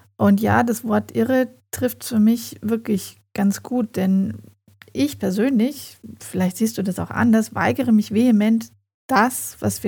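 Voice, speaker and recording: A woman's somewhat breathy voice sits at a medium pitch with ordinary variation as she talks at a moderate pace. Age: 40s. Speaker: podcast host and family coach. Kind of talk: solo podcast monologue.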